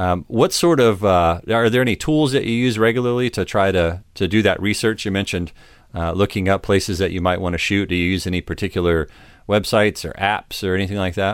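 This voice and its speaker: Fairly quick speech from a man, a plain, everyday voice, fairly low in pitch with ordinary pitch variation, on a very clean recording with a silent background. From United States. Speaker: podcast host, photographer. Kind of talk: interview; podcast intro monologue. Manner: casual, many fillers.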